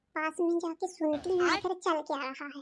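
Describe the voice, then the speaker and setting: In a cartoonish character voice, a woman talks at a moderate pace with fairly even intonation and an extremely high pitch. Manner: grumbling, sharp.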